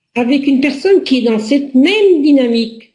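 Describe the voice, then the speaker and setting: A woman's dark, mellow tone unfolds at a very slow pace. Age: 60s. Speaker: relationship coach. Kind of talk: personal presentation to camera.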